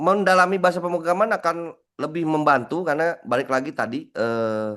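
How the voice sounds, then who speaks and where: Against a quiet background, a man talks at a moderate pace. His pitch is high and his intonation lively. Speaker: cybersecurity instructor. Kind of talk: Q&A in an online class. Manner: halting, many fillers and repeats.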